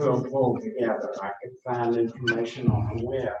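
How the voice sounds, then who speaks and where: Audible room echo surrounds a man who speaks with monotone, flat intonation. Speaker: workshop participant with Parkinson's. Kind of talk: casual group introduction. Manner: speech affected by Parkinson's.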